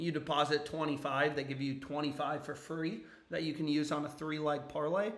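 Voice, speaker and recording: Audible room echo surrounds a man talking at a fairly quick pace. His intonation stays fairly even. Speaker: sports betting streamer. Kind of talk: casual livestream commentary.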